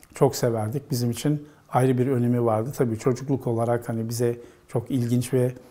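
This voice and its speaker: A man speaks at a moderate pace in a monotone, flat way. His medium-pitched voice is dark and mellow. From Istanbul, Turkey. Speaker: professor. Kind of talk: oral history interview. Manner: hesitant, with many fillers.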